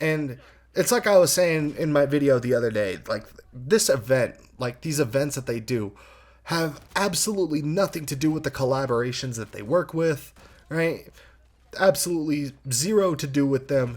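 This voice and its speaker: A man talks at a moderate pace in a fairly high voice. His tone is animated and his intonation lively. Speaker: gaming YouTuber. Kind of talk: rant. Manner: halting.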